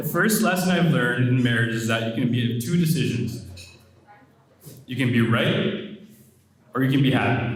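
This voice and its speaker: Lively intonation and long, frequent pauses mark this moderate-paced speech, heard with audible room echo and noticeable background noise. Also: man, medium pitch for a man. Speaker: wedding speech giver, bride's brother. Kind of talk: wedding toast. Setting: wedding reception with audience. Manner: mumbling.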